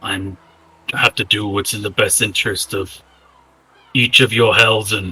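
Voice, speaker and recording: The voice is a raspy, put-on character voice. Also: man. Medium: actual play. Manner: formal, measured.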